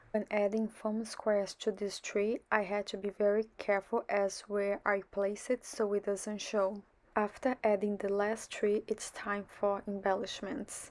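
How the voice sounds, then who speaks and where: A woman speaks fairly slowly in a monotone, flat delivery with hardly any pauses. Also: medium pitch for a woman. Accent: Portuguese. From Brazil. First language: Portuguese. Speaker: card-making crafter. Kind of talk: tutorial narration.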